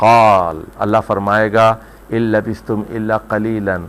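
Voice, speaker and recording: Fairly low in pitch, a man talks in an ordinary speaking voice. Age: 60s. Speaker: Quran commentator. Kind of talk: religious lecture.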